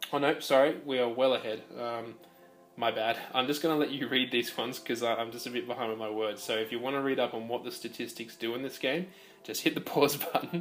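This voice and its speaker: Speaking at a fairly quick pace with fairly even intonation, a man with an Australian accent holds a medium pitch. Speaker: video game presenter. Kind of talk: gameplay commentary voice-over. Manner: hesitant, many fillers.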